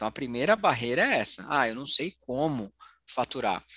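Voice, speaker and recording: A man's bright, sharp tone in a dry, close sound with no echo. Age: 40s. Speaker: financial therapist. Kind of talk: interview.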